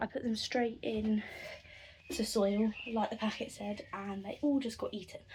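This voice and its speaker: With a fairly high pitch, a woman talks in a somewhat breathy voice. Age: 20s. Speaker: family vlogger. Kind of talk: casual vlog. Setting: greenhouse.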